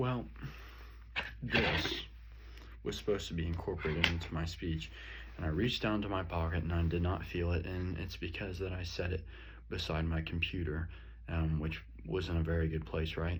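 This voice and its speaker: At a moderate pace broken by long, frequent pauses, a man with a very deep, low pitch and ordinary pitch variation speaks amid audible room echo and noticeable background noise. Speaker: student. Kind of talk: self-reflection monologue. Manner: loud.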